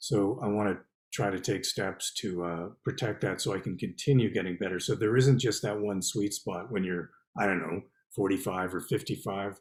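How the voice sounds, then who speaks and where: A man with a Canadian accent and an unremarkable speaking voice speaks at a moderate pace with a fairly low pitch and fairly even intonation. The recording is very clean with a silent background. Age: 60s. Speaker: poet and novelist. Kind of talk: interview.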